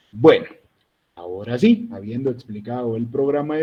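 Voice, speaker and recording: A man speaks at a medium pitch. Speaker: university lecturer. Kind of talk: online lecture. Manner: serious.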